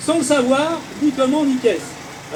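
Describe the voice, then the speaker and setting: Amid noticeable background noise and audible room echo, a man speaks at an extremely high pitch. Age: 60s. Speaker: self-taught physicist and inventor. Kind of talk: speech at a protest. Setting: outdoor protest rally.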